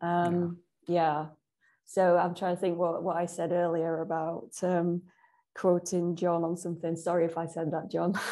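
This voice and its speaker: A woman speaks at a moderate pace in a fairly low, dark, mellow voice with monotone, flat intonation. The background stays quiet. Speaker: podcast host and interviewer; podcast host, interviewer. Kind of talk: interview. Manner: warm. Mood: friendly, slightly apologetic. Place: home room. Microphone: video call.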